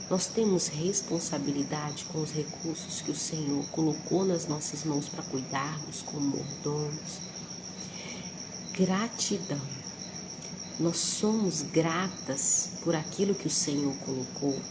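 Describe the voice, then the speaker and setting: Soft-spoken and very slow, a woman with a very deep, low pitch and ordinary pitch variation is heard amid noticeable background noise and audible room echo. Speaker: Bible devotional teacher. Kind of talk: devotional Bible talk. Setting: at a relative's house before dawn.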